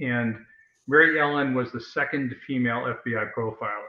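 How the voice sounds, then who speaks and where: Fairly even intonation and a moderate pace mark this speaker with an American accent. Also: man. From New York. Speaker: novelist. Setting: online video show.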